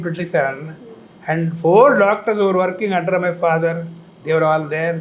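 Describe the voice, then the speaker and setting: A man speaks in a high pitch. His pace is moderate. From Coimbatore, Tamil Nadu, India. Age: 80s+. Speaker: former health minister and doctor. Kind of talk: interview answer.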